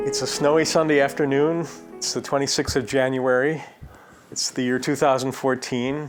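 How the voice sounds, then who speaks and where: Music plays in the background as a man talks at a moderate pace, his fairly high pitch held in a monotone, flat intonation. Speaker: music journalist. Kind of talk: interviewer.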